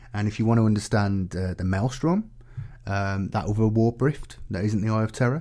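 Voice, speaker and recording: Here a man speaks at a fairly low pitch with a dark, mellow tone. His pace is fairly quick, and his pitch varies in an ordinary way. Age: 30s. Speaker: gaming lore youtuber. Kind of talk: book review monologue. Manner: casual with fillers and hesitations.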